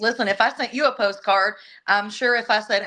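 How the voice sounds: A woman with a Southern US accent talks at a fairly quick pace with a fairly high pitch. Her tone is bright and sharp, and her intonation stays fairly even.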